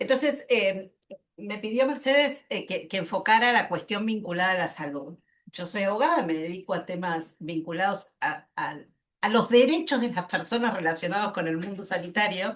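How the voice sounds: A woman speaks at a moderate pace. Her tone is fairly bright. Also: medium pitch for a woman, ordinary pitch variation.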